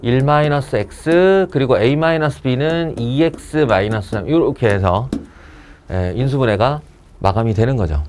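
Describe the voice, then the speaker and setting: A man with an ordinary speaking voice talks at a moderate pace and medium pitch with lively intonation. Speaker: math teacher. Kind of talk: lecture. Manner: casual.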